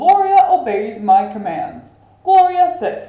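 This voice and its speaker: Using a put-on character voice, a woman speaks at an extremely high pitch with very wide pitch swings, a fairly slow pace and slight echo. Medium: read story.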